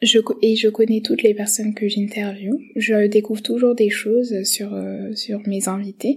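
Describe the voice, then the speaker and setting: Somewhat breathy voice, fairly slow pace, monotone and flat intonation. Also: woman, fairly high pitch for a woman. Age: 20s. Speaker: medical resident and podcaster. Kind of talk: self-presentation monologue. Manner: halting.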